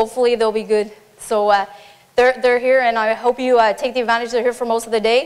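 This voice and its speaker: A woman talks at a very fast pace with a high pitch and fairly even intonation. Noticeable background noise runs underneath. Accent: Newfoundland. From Newfoundland. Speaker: military police officer. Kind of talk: conference talk. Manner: informal.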